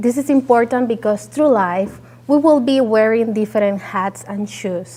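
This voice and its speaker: Speaking at a fairly slow pace, a woman with a Puerto Rican accent uses a fairly high pitch. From Puerto Rico. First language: Spanish. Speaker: entrepreneur and soil scientist. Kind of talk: presentation talk. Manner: halting, many fillers.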